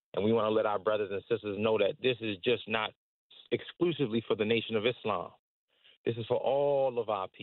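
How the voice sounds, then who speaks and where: A man speaks fairly quickly with an American accent, in an ordinary speaking voice at medium pitch, his intonation fairly even. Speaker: religious community organizer. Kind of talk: radio interview.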